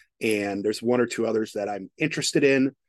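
In a dry, close sound with no echo and a quiet background, a man of medium pitch speaks with ordinary pitch variation. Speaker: podcast host, technology professional. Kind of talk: casual chat.

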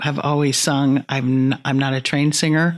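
A woman with an American accent speaks at a moderate pace in a very deep, low voice with monotone, flat intonation. The recording is very clean and the background silent. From US Midwest, Omaha, Nebraska. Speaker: actress and theater teacher. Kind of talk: casual interview.

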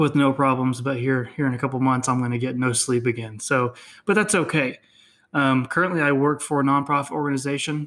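A man talks at a fairly quick pace with a medium pitch and fairly even intonation. The recording is very clean, with a silent background. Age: 20s. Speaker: author and seminary graduate. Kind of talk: interview. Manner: halting.

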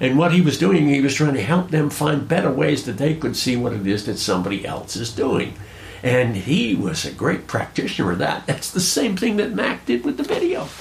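With noticeable background noise behind him, a man speaks fairly quickly at a fairly high pitch, his voice making very wide pitch swings. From Rhode Island. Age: 80s. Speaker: fly casting instructor. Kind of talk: casual interview conversation.

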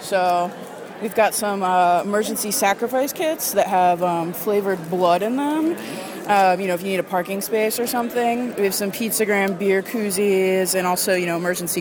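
Through noticeable background noise, a woman speaks at a moderate pace with medium pitch and ordinary pitch variation. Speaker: vendor selling horror novelty toys. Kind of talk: casual interview chat. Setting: zine fest table.

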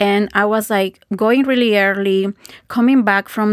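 A dry, close, echo-free and very clean recording with a silent background, in a Spanish accent, at a fairly slow pace with ordinary pitch variation. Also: woman. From Guatemala. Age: 40s. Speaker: facial yoga teacher. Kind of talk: interview.

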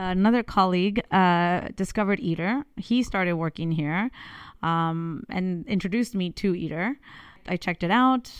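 Over a silent background on a very clean recording, a woman talks with a Californian accent. Her pace is moderate, her pitch medium, and her pitch variation ordinary. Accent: Californian American. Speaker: engineer. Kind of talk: interview.

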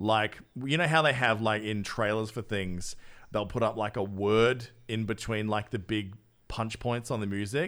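A man with an Australian accent speaks with a fairly low pitch and ordinary pitch variation on a very clean recording with a silent background. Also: moderate pace. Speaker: podcast host. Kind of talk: casual chat. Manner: animated.

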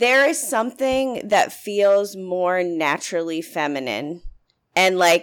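Speaking with lively intonation, a woman with an American accent has an ordinary speaking voice. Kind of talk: casual chat.

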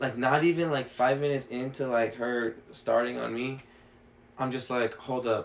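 At a moderate pace, a man with an American accent talks at a medium pitch in a flat, monotone way. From Mexican heritage, US. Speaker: podcast co-host. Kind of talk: casual chat.

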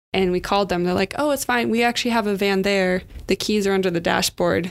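The speaker has a West Coast American accent. The recording is very clean, with a silent background. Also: woman. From California. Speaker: community leadership worker. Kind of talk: casual chat. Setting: studio.

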